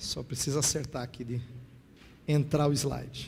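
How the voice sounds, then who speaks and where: Heard with audible room echo, a man talks at a fairly slow pace and medium pitch, with vocal fry and monotone, flat intonation. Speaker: pastor and theology lecturer. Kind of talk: sermon-style lecture.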